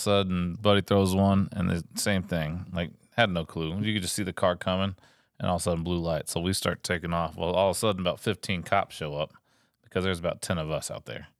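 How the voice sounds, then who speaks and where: A man with a Texan accent speaks at a fairly quick pace with a very deep, low pitch. The very clean recording has a silent background and a dry, close sound with no echo. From Texas. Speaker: Coast Guard veteran. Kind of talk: casual chat. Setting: home studio.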